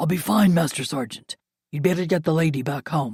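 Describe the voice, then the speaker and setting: Using a put-on character voice, a woman talks at a fairly quick pace in a raspy, very deep and low register. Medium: read story. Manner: clipped military formality.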